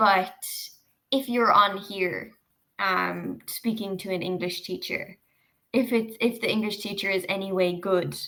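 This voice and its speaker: Speaking with an Irish accent, a woman has a bright, sharp tone and a medium pitch. Her pace is fairly slow and her intonation fairly even. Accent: Irish, milder than most. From Ireland, Cork (south). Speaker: online English tutor. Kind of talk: casual chat. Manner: clear, measured for learners.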